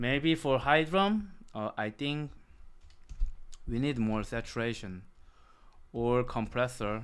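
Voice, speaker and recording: The speaker has a Korean accent and lively intonation, talking at a very slow pace with long, frequent pauses. The recording is very clean with a silent background. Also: man, medium pitch for a man. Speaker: music producer. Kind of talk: tutorial. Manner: halting.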